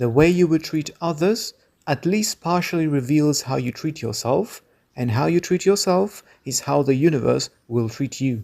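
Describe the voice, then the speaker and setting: Against a silent background in a very clean recording, a man with a non-native accent speaks at a moderate pace, his fairly high voice lively in intonation with a dark, mellow tone. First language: non-native English speaker. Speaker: video essayist. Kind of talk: video essay narration.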